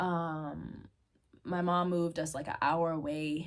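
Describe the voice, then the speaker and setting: At a moderate pace, a woman speaks in a fairly low voice on a very clean recording with a silent background. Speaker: video blogger sharing personal testimony. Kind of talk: personal testimony. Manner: halting, many fillers.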